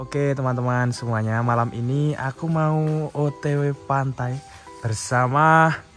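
Faint music plays in the background as a man speaks at a very slow pace. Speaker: truck vlogger. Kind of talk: casual vlog chat. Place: street. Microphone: phone near.

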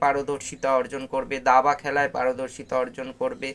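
A man speaks at a fairly high pitch. Music plays behind him. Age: 40s. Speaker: book reviewer and art teacher. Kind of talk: book review monologue. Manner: halting.

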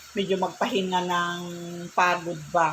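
Over noticeable background noise, a woman with a fairly low pitch speaks in a monotone, flat delivery. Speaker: vlogger. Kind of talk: casual vlog monologue.

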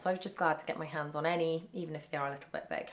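A woman with a British accent at a very fast pace. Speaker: family travel vlogger. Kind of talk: haul video show-and-tell. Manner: casual, chatty.

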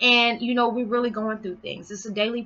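A woman is speaking. Music plays in the background. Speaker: spiritual vlogger. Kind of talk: monologue video blog. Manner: fast talker; warm, animated. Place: home room. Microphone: webcam.

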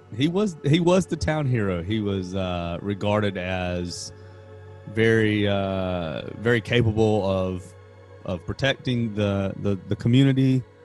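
A man's fairly low voice at a fairly slow pace, with ordinary pitch variation, a dry sound with no echo, and faint music in the background. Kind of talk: casual podcast conversation. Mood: relaxed, amused. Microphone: studio mic.

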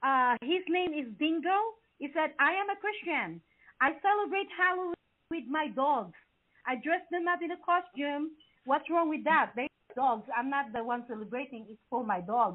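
A woman with a non-native accent speaks in an animated tone at a moderate pace. Her pitch is high, with very wide swings. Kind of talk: live talk show. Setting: studio. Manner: halting.

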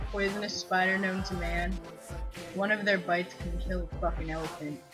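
Clear music plays in the background. The speaker talks at a moderate pace in a Canadian accent. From Canada. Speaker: vlogger. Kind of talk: casual talk to camera. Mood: playful, joking. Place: home room. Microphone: webcam.

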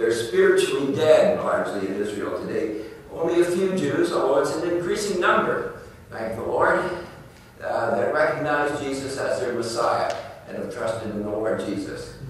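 A man's voice carries strong room echo over light background noise. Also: moderate pace. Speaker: preacher teaching Bible prophecy. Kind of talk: sermon. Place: church.

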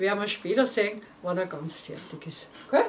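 A woman speaks at a fairly slow pace with very wide pitch swings, over light background noise. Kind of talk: casual presentation to viewers. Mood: warm, cheerful. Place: studio.

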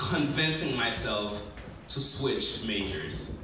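Noticeable background noise and audible room echo surround this man. He speaks at a very slow pace. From New York City, USA. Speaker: spoken word poet. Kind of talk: spoken word poetry performance. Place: stage.

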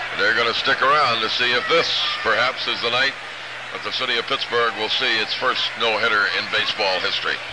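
Over loud background noise, a man talks at a fairly quick pace and a medium pitch. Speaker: baseball radio announcer. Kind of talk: live sports commentary. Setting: stadium broadcast booth. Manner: brisk, energetic play-by-play. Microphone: old recording.

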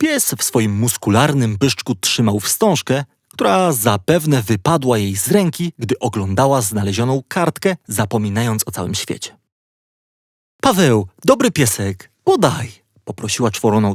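A man speaks at a fairly slow pace in a medium pitch, with an unremarkable speaking voice and lively intonation. The recording is very clean with a silent background, and the sound is dry and close with no echo. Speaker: audiobook narrator. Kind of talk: bedtime story reading, children's audiobook narration. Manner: calm, gently paced, storyteller tone.

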